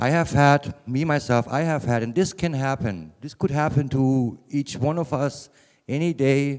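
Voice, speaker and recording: A man with a German accent talks at a fairly high pitch and a fairly slow pace with fairly even intonation. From Germany, Bavaria (Würzburg). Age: 50s. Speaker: cannabis patient speaker. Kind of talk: conference talk. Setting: conference room with small audience.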